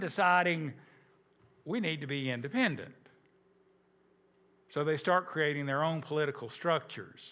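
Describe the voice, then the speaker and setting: A man projects his voice in a southern Appalachian accent with a bright, sharp tone. The recording is very clean, with a silent background. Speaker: history teacher. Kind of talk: lecture. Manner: conversational, repetitive restarts.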